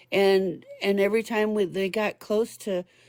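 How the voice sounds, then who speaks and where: A woman's medium-pitched voice at a very slow pace, on a very clean recording with a silent background. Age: 60s. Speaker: caller. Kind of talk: casual chat. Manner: halting.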